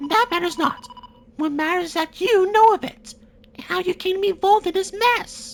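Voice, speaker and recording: Squeaky and extremely high in pitch. The voice is a put-on character voice. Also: moderate pace. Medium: fan dub. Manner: formal, clipped.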